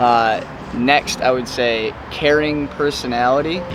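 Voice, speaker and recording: There is music in the background and audible room echo. A man speaks in an American accent. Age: 30s. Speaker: travel vlogger. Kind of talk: casual chat.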